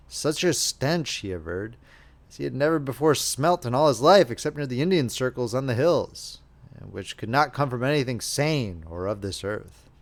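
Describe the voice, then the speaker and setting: Using an ordinary speaking voice, a man of medium pitch talks at a moderate pace with lively intonation and big swings in loudness. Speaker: audiobook narrator. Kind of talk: audiobook reading of classic horror novella.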